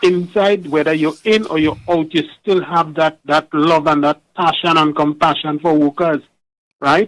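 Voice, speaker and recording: The speech moves at a fairly slow pace. The sound is dry and close, with no echo. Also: man, fairly high pitch for a man. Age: 60s. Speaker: caller. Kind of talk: call-in radio talk. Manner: halting.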